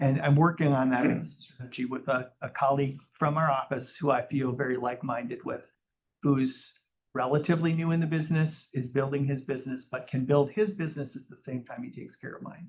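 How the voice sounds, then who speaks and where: Somewhat breathy and fairly high-pitched, a man with an American accent talks at a fairly quick pace, his intonation fairly even but his loudness swinging widely. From US Midwest, Minneapolis area. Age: 60s. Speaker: real estate agent. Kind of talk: interview on stage. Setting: live audience in a room.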